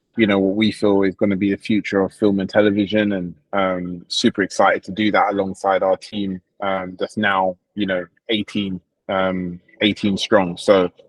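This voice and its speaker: With a London accent, a man talks at a moderate pace. His pitch is fairly low and his intonation monotone and flat. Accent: British (London). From England, London. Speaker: crypto project founder. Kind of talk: livestream interview. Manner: hesitant, many fillers.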